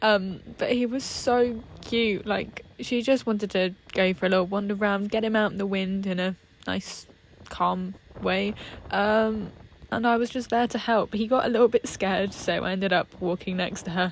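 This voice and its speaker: Here is an unremarkable speaking voice with fairly even intonation. It moves at a moderate pace. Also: woman, medium pitch for a woman. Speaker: equestrian vlogger. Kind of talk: casual vlog chat.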